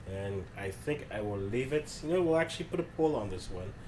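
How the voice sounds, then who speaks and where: A man's somewhat breathy voice at a medium pitch and a moderate pace. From Ghana. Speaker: football podcast co-host. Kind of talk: casual chat.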